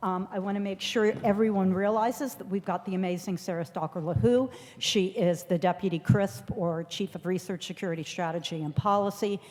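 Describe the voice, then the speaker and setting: Here a woman uses an ordinary speaking voice at a medium pitch with ordinary pitch variation. Her pace is fairly quick, with hardly any pauses. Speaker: federal agency official presenting policy updates. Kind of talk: conference presentation.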